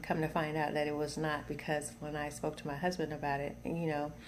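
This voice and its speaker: In an American accent, a woman speaks at a very deep, low pitch, with audible room echo around her. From US South. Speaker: video blogger. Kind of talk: personal testimony. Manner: halting, many fillers and repetitions.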